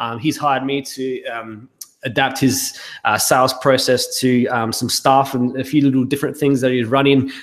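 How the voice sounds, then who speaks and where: A man in an Australian accent speaks at medium pitch and a moderate pace, his intonation monotone and flat. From South Australia. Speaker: business consultant. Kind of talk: webinar sales pitch. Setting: live webinar. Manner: hesitant, many fillers.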